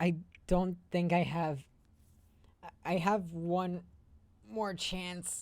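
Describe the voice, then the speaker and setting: Quiet and very slow, a woman talks at a fairly low pitch with fairly even intonation and long, frequent pauses. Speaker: video game streamer. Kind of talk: live gameplay stream commentary.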